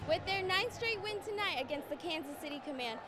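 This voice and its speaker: A woman's raised, projected voice with lively intonation amid noticeable background noise. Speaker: student broadcast journalist. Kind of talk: TV news report.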